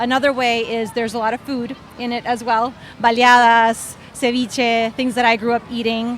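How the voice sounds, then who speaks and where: A woman with a Spanish accent talks at a moderate pace. Her pitch is high and her intonation monotone and flat. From Honduras. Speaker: children's book author. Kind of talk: panel discussion. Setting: book festival panel.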